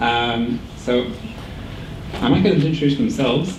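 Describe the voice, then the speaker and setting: Talking at a fairly quick pace in an Irish accent, a man with a fairly high pitch comes through audible room echo and noticeable background noise. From Ireland. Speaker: emergency physician, training supervisor. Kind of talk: orientation talk hosting Q and A. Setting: stage with audience.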